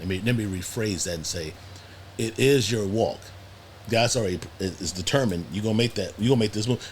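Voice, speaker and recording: Very fast speech from a man, fairly low in pitch and somewhat breathy, with ordinary pitch variation and long, frequent pauses. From US Midwest, Cleveland, Ohio. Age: 60s. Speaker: podcast guest. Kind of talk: casual chat. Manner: halting, frequent repetitions.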